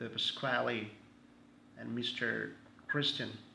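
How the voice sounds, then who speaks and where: A man's fairly slow speech with audible room echo. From Brazil. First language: Portuguese. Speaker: pastor. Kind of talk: casual self-introduction. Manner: halting; hesitant with many fillers.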